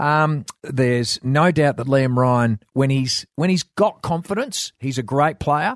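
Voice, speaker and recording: A man with an Australian accent and fairly high pitch speaks at a fairly slow pace with hardly any pauses and ordinary pitch variation, the sound dry and close with no echo. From Western Australia wheatbelt. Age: 50s. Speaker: former footballer, sports pundit. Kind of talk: casual chat.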